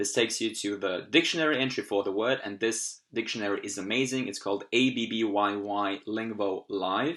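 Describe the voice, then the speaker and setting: Over a quiet background, a man with a medium pitch and ordinary pitch variation speaks at a fairly quick pace with hardly any pauses. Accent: German. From Austria. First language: German. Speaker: language learning youtuber. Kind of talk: tutorial. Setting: at home computer, screen recording.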